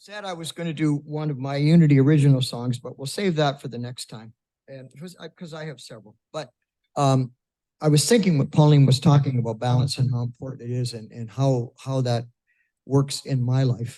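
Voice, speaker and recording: The voice has a dark, mellow tone, moving at a fairly quick pace with ordinary pitch variation and big swings in loudness. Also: man, fairly high pitch for a man. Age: 70s. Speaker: church musician. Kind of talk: casual spoken introduction to a song.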